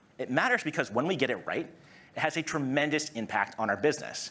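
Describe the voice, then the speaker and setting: Lively intonation marks this man's very fast delivery in a Massachusetts accent. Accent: American, Massachusetts. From US, Massachusetts. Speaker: product marketing director. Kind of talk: conference presentation. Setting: stage with audience.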